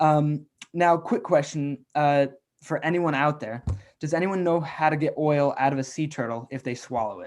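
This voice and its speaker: An American accent at a moderate pace, a normal speaking voice with ordinary pitch variation. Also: man, fairly high pitch for a man. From US South, Atlanta, Georgia. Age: 20s. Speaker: youth environmental activist. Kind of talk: online presentation.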